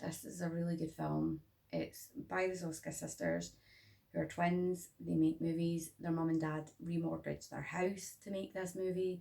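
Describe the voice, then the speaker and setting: A woman with a Scottish accent in a tired tone at a moderate pace. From Scotland. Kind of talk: casual talk to camera.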